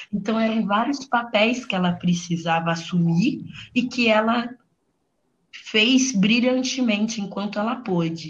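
Heard with audible room echo, a woman speaks fairly slowly in a somewhat breathy voice at a fairly high pitch. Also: ordinary pitch variation. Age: 20s. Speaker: fashion entrepreneur. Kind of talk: casual chat.

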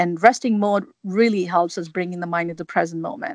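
A woman speaks with an Indian accent against a quiet background. Her pitch is medium, with ordinary pitch variation. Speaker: mindset coach. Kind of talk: interview.

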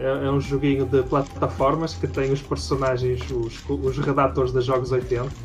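A man with a European Portuguese accent speaks at medium pitch and a moderate pace, with lively intonation and hardly any pauses. His loudness stays very even while music plays in the background. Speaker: game developer. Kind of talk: interview.

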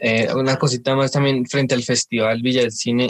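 With monotone, flat intonation, a man speaks at a medium pitch and a moderate pace. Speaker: podcast host. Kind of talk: interview.

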